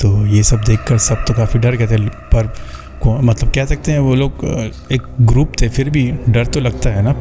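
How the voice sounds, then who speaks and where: Music plays in the background as a man talks at a moderate pace. His voice sits at a medium pitch with fairly even intonation. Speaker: horror story narrator. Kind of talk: horror story narration. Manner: conversational, casual storytelling.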